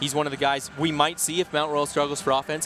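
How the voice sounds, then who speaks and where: Over music in the background, a man talks at a very fast pace with a fairly high pitch. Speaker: sports broadcaster, play-by-play announcer. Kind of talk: live hockey play-by-play and commentary.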